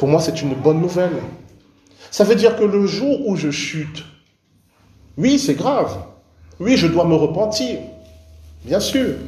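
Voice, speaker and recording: Pitched high for a man, this speaker swings very widely in pitch. He goes at a fairly slow pace with long, frequent pauses. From Cameroon. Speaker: pastor. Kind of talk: sermon. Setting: church.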